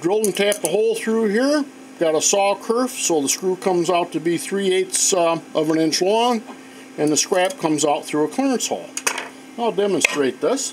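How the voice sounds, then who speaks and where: Over noticeable background noise, a man talks at a moderate pace with lively intonation and very even loudness. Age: 60s. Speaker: woodworker / machinist. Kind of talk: tutorial. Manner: casual, halting with fillers.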